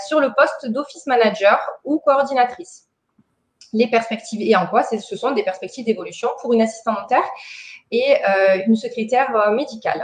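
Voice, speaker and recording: This woman's voice is high in pitch. She uses ordinary pitch variation. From southern France, Bouches-du-Rhône. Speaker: trainer, dental centre manager. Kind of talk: webinar training presentation. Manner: hesitant, many fillers.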